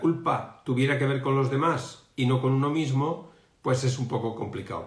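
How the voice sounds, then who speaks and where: Amid audible room echo, a somewhat breathy man speaks very slowly at medium pitch with fairly even intonation. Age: 60s. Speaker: emotional education coach. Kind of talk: live stream talk. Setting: online live stream. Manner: halting, many fillers.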